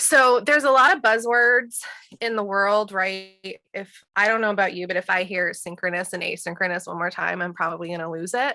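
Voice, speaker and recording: At a fairly quick pace, a woman talks in a medium pitch with a bright, sharp tone and ordinary pitch variation. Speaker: teacher and workshop presenter. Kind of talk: webinar presentation. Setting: video call. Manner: halting, stuttering.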